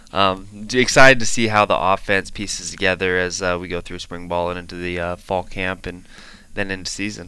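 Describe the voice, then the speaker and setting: Speaking at a fairly quick pace with an American accent, a man with a very deep, low pitch and a bright, sharp tone keeps his intonation fairly even while his loudness swings widely. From Washington State, US Pacific Northwest. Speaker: college football player. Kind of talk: casual interview.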